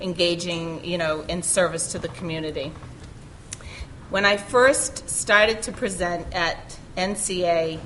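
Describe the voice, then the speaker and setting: With a Boston accent, a woman speaks at a fairly low pitch with ordinary pitch variation, amid audible room echo and noticeable background noise. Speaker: college communication professor. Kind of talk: conference panel talk. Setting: conference session with audience.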